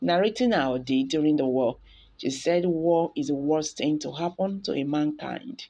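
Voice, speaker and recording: A woman speaks in an ordinary speaking voice, fairly low-pitched, at a fairly slow pace. Her intonation is lively, and the background is quiet. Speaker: news channel host. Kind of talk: news report narration.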